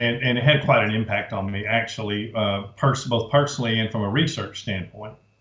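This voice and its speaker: This man has an unremarkable speaking voice at a medium pitch, with fairly even intonation. He talks at a fairly quick pace with hardly any pauses. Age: 60s. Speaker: author and researcher. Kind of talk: interview.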